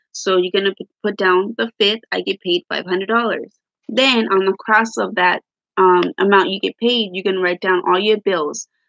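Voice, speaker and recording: A woman with an unremarkable speaking voice talks at a moderate pace and medium pitch. Her pitch variation is ordinary, and the sound is dry and close with no echo. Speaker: budgeting vlogger. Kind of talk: tutorial. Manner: casual, rambling with fillers.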